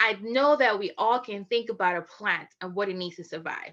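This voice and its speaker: Lively intonation and a bright, sharp tone mark this woman's speech, with a slight West Indian accent. She keeps a moderate pace against a quiet background. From Virgin Islands. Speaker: business consultant and keynote speaker. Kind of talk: keynote speech. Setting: conference keynote.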